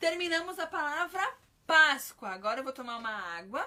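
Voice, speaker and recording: Her pitch is high and her tone bright and sharp. The woman uses a raised, projected voice. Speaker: children's ministry teacher. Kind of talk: live-stream Bible teaching. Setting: live stream.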